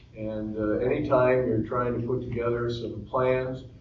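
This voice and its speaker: Moderate pacing and fairly even intonation, set in audible room echo amid noticeable background noise. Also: man. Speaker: retirement community resident. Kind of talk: panel discussion. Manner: halting.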